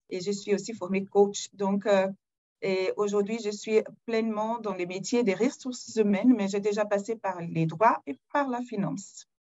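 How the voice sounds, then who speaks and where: Speaking fairly slowly with a Portuguese accent, a woman uses a medium pitch and ordinary pitch variation. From Brazil. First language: Portuguese (speaking French). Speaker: corporate HR executive. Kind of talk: webinar self-introduction.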